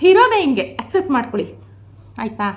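A woman speaks in an animated tone. Vocal fry runs through her voice. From rural Mysore region, Karnataka. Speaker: vlogger. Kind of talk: vlog monologue.

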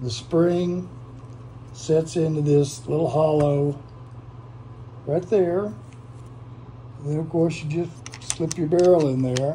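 Over noticeable background noise and audible room echo, a man talks at a very slow pace with ordinary pitch variation. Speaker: gun review youtuber. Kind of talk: casual product demo. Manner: halting, many fillers.

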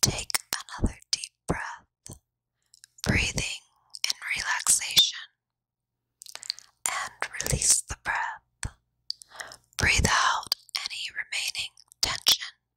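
A soft-spoken whisper at a very slow pace, with long, frequent pauses, a dry sound with no echo, and a quiet background. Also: woman. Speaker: ASMR creator. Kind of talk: guided meditation. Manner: soft close-mic ASMR whisper. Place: home room. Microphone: handheld.

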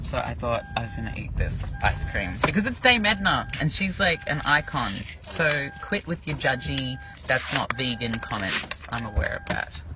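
Speech moves at a moderate pace over music in the background. The sound is dry, with no echo. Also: man. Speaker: vlogger. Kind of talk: casual vlog chat. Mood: cheerful, playful. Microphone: phone near.

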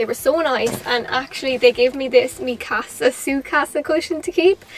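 A high-pitched woman over light background noise. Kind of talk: casual vlog chat. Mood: cheerful, excited. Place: car.

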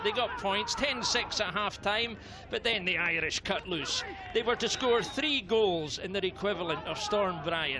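A man speaks in a raised, projected voice at a high pitch, animated and enthusiastic, with ordinary pitch variation. The pace is fairly slow, and there is noticeable background noise. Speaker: sports commentator. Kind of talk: live-style sports commentary recap. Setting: voiceover over match highlights. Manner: animated, brisk, enthusiastic play-by-play delivery.

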